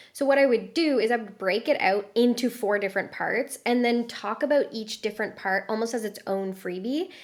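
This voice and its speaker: On a very clean recording with a silent background, a woman with an unremarkable speaking voice talks fairly quickly at a fairly high pitch, with ordinary pitch variation and hardly any pauses. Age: 30s. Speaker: productivity coach. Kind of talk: casual interview.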